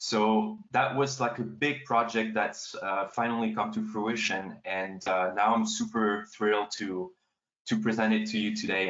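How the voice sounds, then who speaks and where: A man with a French accent talks at a moderate pace. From France. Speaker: astrophotographer and author. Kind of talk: panel talk. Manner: halting.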